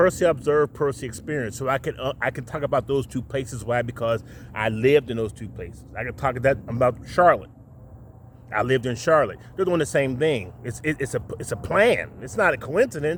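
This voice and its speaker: At a fairly quick pace, a man speaks in an animated, somewhat breathy tone with medium pitch and ordinary pitch variation. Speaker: video podcast host. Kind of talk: monologue rant to camera. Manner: animated, stuttering from excitement.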